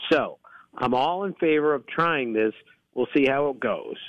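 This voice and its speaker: Pitch varies in an ordinary way here. The pace is moderate. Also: man. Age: 60s. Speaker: baseball analyst. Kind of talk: radio interview.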